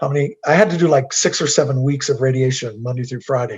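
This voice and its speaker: A man's fairly high, somewhat breathy voice. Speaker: guest speaker. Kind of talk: Q&A testimony. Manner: halting.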